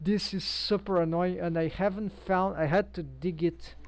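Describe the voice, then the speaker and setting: Speaking fairly slowly, a woman talks with a Brazilian accent. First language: Portuguese. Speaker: 3D animator and live streamer. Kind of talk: live-stream tutorial. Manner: halting, many fillers. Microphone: headset built-in microphone.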